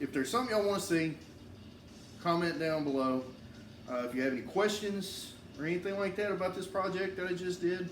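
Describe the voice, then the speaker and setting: Speaking at a very fast pace with a strong Southern US accent, the voice comes over music in the background and audible room echo. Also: man. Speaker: woodworking YouTuber. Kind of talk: tutorial. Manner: casual, halting with fillers.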